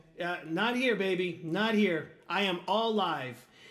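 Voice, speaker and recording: There is ordinary pitch variation, heard with audible room echo. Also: man. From Portuguese-speaking country. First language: Portuguese. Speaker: guitarist streamer. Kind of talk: live stream chat. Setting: live stream. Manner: halting.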